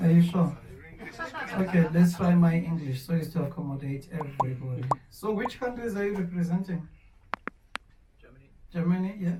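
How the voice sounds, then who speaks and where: A high-pitched man at a fairly quick pace, with big swings in loudness, long, frequent pauses and noticeable background noise. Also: ordinary pitch variation. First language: Xhosa. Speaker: tour guide. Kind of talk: guided tour talk.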